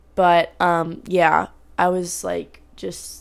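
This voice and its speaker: A very clean recording of a woman, the background silent. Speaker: solo podcaster, college student. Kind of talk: casual personal update monologue. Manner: chatty, many fillers.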